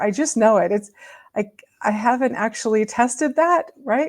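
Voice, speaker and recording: A woman has a plain, everyday voice with ordinary pitch variation. She speaks at a fairly slow pace. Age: 60s. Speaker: spiritual wellness video host. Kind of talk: casual talk to camera. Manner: casual, with fillers and restarts.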